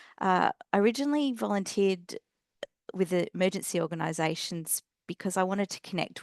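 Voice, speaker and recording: A woman with an Australian accent talks at a fairly quick pace with lively intonation, in a dry, close sound with no echo and a quiet background. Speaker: nurse and emergency volunteer. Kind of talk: personal introduction in webinar.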